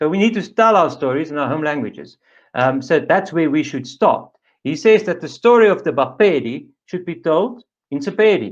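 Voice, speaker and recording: Speaking at a moderate pace with a South African accent, a man with a fairly high pitch uses lively intonation over a quiet background. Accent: Afrikaans South African. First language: Afrikaans. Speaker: panelist for an Afrikaans language association. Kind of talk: webinar presentation.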